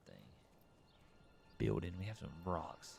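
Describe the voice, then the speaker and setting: A man's voice with vocal fry, lively intonation and a moderate pace. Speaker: game streamer. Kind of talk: live gameplay commentary. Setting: live stream. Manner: talking low.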